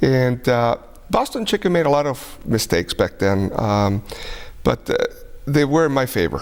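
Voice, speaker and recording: Very wide pitch swings mark this man's speech, with long, frequent pauses. Noticeable background noise runs underneath. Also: medium pitch for a man, moderate pace, very even loudness. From Europe, Spanish and German speaking household. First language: Spanish and German. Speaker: restaurant and banquet hall owner. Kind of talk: interview. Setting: TV studio.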